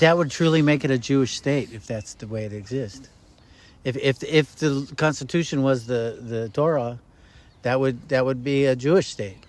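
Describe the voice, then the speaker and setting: Delivered at a moderate pace, this is an ordinary speaking voice whose pitch varies in an ordinary way. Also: man, medium pitch for a man. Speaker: podcast host and activist. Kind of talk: interview question.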